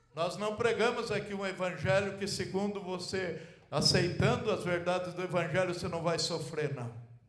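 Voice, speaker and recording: A man with a high pitch speaks at a moderate pace. Audible room echo and noticeable background noise surround him. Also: ordinary pitch variation. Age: 70s. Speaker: pastor. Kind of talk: sermon. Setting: church.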